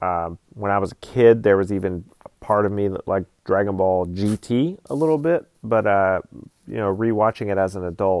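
With an American accent, a man speaks at a moderate pace with fairly low pitch, ordinary pitch variation and a dry, close sound with no echo. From US South, Georgia. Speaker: podcast host, film editor. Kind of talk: casual solo monologue. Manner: rambling, hesitant with many fillers.

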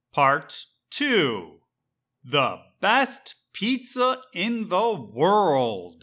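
A man's high, raised and projected voice, bright and sharp in tone, with very wide pitch swings at a very slow pace in a very clean recording with a silent background. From Chicago, Illinois, US. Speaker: English teacher. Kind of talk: scripted narration. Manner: slow, clear.

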